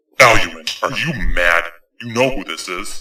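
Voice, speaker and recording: Putting on a growling character voice, a man speaks at a moderate pace with lively intonation and fairly low pitch. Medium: audio drama. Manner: forceful, commanding.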